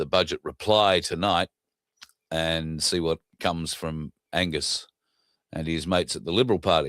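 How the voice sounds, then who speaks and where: A man with a very deep, low pitch speaks at a moderate pace with fairly even intonation and long, frequent pauses. The sound is dry and close, with no echo. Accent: Australian. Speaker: political commentary show host. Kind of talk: casual monologue. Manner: hesitant, many fillers.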